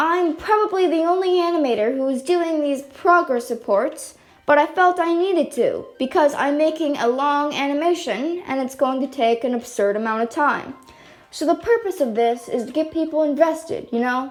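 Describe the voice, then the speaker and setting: Over music in the background, a woman talks loudly in a high pitch at a moderate pace. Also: lively intonation. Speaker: amateur animator. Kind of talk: casual vlog update. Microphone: no mic, device built-in.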